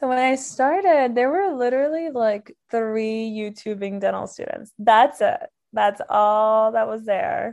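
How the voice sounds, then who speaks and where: A woman's fairly high voice in an American accent, a normal speaking voice with lively intonation, a fairly slow pace and hardly any pauses, over a quiet background. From Miami, Florida. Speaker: dental school graduate. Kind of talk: podcast interview.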